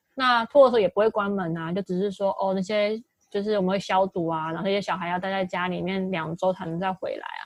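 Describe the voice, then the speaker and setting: Speaking at a very fast pace with hardly any pauses, a woman has a medium pitch. Her pitch varies in an ordinary way, and the sound is dry and close with no echo. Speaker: podcast co-host. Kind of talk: casual chat.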